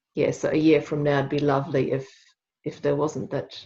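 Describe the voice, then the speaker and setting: A woman with a non-native accent speaks at a moderate pace in a very deep, low pitch. Her tone is dark and mellow, somewhat breathy, with fairly even intonation. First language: not English. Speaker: workshop participant. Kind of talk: group discussion.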